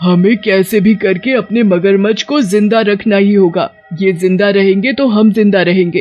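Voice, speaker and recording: A cartoonish character voice at a moderate pace, with faint music in the background. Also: man, high pitch for a man. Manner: commanding, menacing.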